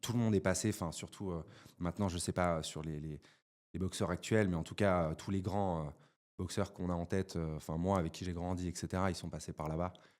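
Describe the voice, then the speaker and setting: A very deep, low voice comes from this man as he talks fairly quickly. The background is silent and the recording very clean. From France, Valence (Drôme). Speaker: entrepreneur. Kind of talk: casual chat. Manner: animated, many hesitations.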